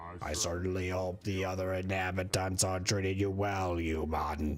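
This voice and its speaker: The speaker uses a put-on character voice with monotone, flat intonation. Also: man, very deep, low pitch for a man, moderate pace. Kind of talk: formal, welcoming. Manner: slow, monotone.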